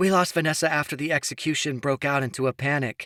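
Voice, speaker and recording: A man's put-on character voice, fairly high in pitch, at a very fast pace with fairly even intonation. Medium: read story.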